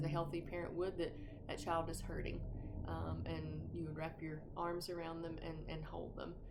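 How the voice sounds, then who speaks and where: In a North Georgia accent, a woman talks at a moderate pace amid noticeable background noise and audible room echo. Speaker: grief support group facilitator. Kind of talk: informal talk on grief. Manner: halting, many fillers.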